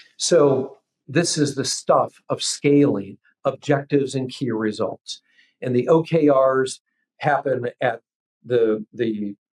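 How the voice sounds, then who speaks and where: A plain, everyday voice from a man with fairly high pitch, in a dry, close sound with no echo. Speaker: business coach, former homebuilding executive. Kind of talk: business podcast interview.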